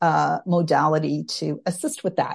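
A woman with an unremarkable speaking voice talks at a fairly slow pace and a fairly low pitch against a quiet background. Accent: Canadian. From Canada. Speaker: social worker and tapping trainer. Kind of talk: interview, casual chat.

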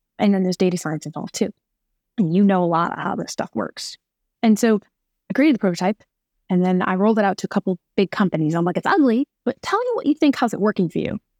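A very fast, animated woman's voice at medium pitch with an American accent and ordinary pitch variation, in a dry, close sound with no echo. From New York. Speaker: trucking lawyer and tech company founder. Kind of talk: interview.

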